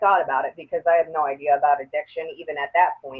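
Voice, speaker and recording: Her voice is fairly low-pitched for a woman, and her pitch varies in an ordinary way. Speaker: slam poet. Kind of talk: interview answer. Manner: emotional, hesitant.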